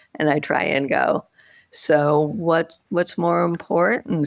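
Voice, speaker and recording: A woman speaks at a very slow pace. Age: 70s. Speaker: author. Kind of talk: interview conversation.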